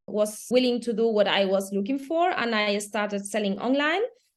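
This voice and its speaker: A woman with a Spanish accent speaks at a moderate pace in a fairly high pitch, her pitch varying in an ordinary way against a quiet background. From Spain. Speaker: entrepreneur, children's footwear founder. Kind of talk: casual chat.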